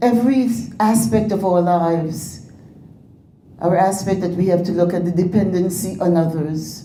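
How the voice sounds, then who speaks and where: With audible room echo and noticeable background noise, a woman speaks at a moderate pace, her fairly low pitch showing ordinary variation. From Grenada. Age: 80s+. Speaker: former politician and educator. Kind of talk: speech to an audience.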